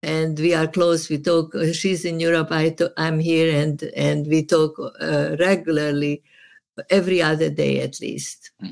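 In a Hungarian accent, a woman with a very deep, low voice speaks at a fairly slow pace. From Serbia. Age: 80s+. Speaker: therapist. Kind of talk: casual chat. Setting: video call. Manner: animated.

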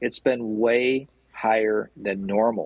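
The speaker is a man. He has a Midwestern US accent. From Michigan. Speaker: small business association CEO. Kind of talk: radio interview.

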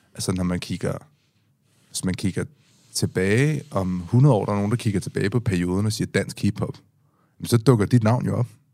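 With long, frequent pauses, a man speaks at a moderate pace in a fairly low pitch, his tone dark and mellow and his pitch varying in an ordinary way. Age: 30s. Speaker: podcast host. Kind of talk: casual chat. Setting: studio. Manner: halting.

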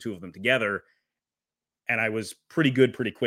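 Someone speaks with an American accent in an unremarkable speaking voice, with ordinary pitch variation. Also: man. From Wisconsin. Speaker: hockey play-by-play broadcaster. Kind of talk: casual chat.

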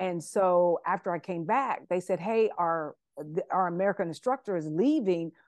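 Woman of medium pitch at a moderate pace, with ordinary pitch variation, in a dry, close sound with no echo and a quiet background. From US Midwest, Columbus, Ohio. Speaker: personal trainer. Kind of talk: podcast interview. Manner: halting.

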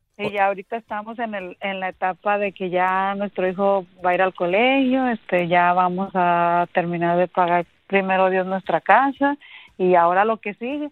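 A woman with a normal speaking voice talks at a moderate pace with hardly any pauses. Her pitch is medium, with ordinary variation. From Mexico, Aguascalientes. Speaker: caller. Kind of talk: casual chat.

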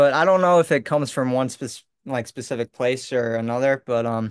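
In a dry, close sound with no echo and a quiet background, a man with an American accent speaks at medium pitch and a moderate pace. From Long Island, New York. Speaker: mixed martial artist. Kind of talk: casual interview.

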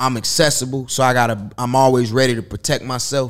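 In an ordinary speaking voice, a man with an American accent speaks at a medium pitch and moderate pace on a very clean recording with a silent background. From Chicago. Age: 30s. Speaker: nightlife promoter and entrepreneur. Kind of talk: casual chat.

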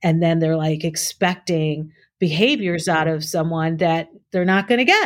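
A woman with a plain, everyday voice and a fairly low pitch talks at a moderate pace with fairly even intonation. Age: 50s. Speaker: executive director of an adaptive scuba nonprofit. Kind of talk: casual chat.

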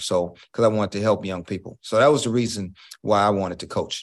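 A man's plain, everyday voice with an American accent, fairly quick, with ordinary pitch variation over a quiet background. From Houston, Texas (Fifth Ward). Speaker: college basketball coach. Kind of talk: interview.

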